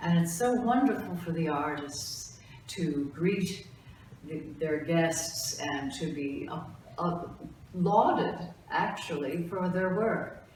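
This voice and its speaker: Speech comes at a very slow pace with ordinary pitch variation, over noticeable background noise and audible room echo. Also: woman, fairly low pitch for a woman. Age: 60s. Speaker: gallery director and photographer. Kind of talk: documentary interview. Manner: halting, with many fillers.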